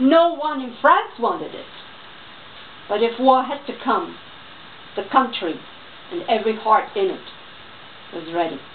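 Speaking fairly slowly, a woman with a New York accent has a high voice, with light background noise behind her. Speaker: voice-over artist; reader. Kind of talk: reading aloud. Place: home room. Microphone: camera far.

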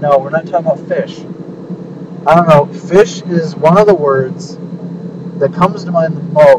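Noticeable background noise behind a man's moderate-paced speech. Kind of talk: casual vlog chat. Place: car. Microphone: phone near.

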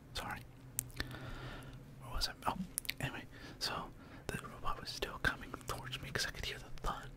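A woman whispers in a relaxed tone at a fairly quick pace. Long pauses come often. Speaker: ASMR creator. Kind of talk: ASMR storytelling ramble. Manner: whispered; relaxed, soft-spoken. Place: home room. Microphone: studio mic.

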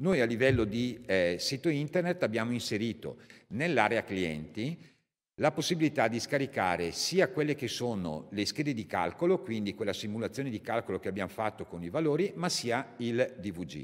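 With a quiet background, a man at a medium pitch talks at a moderate pace with very wide pitch swings. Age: 50s. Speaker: company representative; presenter, speaker. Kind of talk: technical product presentation. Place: hall. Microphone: podium.

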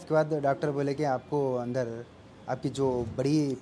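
Fairly even intonation over faint music in the background. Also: man. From Telangana, India (Narayanpet district); Telangana, India. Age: 30s. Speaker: cancer patient. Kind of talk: testimony. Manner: halting. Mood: calm, earnest.

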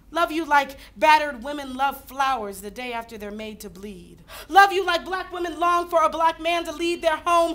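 A woman's raised, projected voice, bright and sharp in tone, with very wide pitch swings at a moderate pace. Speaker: slam poet. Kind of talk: slam poetry performance. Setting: live audience. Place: hall. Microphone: camera far.

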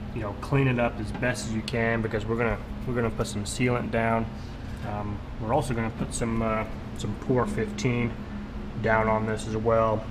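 Over noticeable background noise, a man talks at a moderate pace and stops often for long pauses. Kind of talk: tutorial. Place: garage. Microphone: phone near.

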